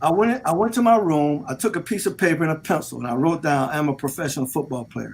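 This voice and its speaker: Talking at a very fast pace with hardly any pauses, a man with an American accent uses lively intonation at a fairly high pitch. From US South, Delray Beach, Florida. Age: 60s. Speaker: sports radio host and former pro football player. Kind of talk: casual chat. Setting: studio. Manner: animated.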